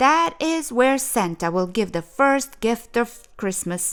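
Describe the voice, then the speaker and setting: A woman speaks in a put-on character voice. Her pace is fairly slow. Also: fairly high pitch for a woman. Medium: read story.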